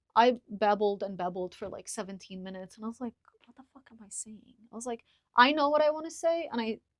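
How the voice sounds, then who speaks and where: Very fast speech with lively intonation and big swings in loudness, dry and close with no echo. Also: woman, fairly high pitch for a woman. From Lebanon. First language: Arabic. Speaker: podcaster. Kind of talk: casual chat. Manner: articulate.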